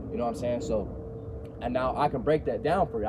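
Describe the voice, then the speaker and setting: A man talks at a very fast pace with noticeable background noise behind him. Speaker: astrologer and vlogger. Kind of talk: casual monologue vlog. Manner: animated.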